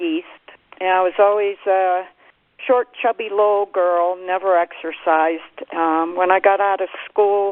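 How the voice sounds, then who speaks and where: This is a woman with an American accent. Her pitch is medium. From Pennsylvania, US. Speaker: pioneering ultramarathon runner. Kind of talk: conference call reminiscence. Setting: phone conference call.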